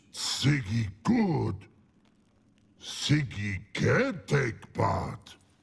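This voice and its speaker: Growling in a put-on character voice, a man of medium pitch speaks very slowly with long, frequent pauses. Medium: video game. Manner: broken grammar, halting, slow.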